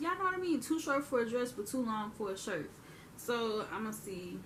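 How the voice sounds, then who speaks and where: Her pitch rises and falls very widely. The woman keeps a moderate pace. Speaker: youtuber. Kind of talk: haul video monologue. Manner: animated.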